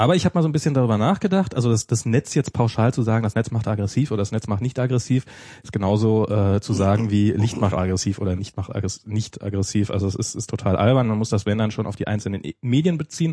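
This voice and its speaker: This man talks at a very fast pace in a fairly low, somewhat breathy voice with a dark, mellow tone. His pitch varies in an ordinary way. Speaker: podcast host. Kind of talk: casual chat. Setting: studio. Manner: halting.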